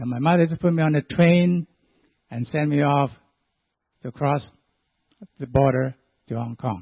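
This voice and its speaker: Speaking with a Chinese accent at a moderate pace, the voice shows ordinary pitch variation and long, frequent pauses. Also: man, fairly high pitch for a man. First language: Chinese dialect. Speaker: church deacon. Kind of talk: testimony.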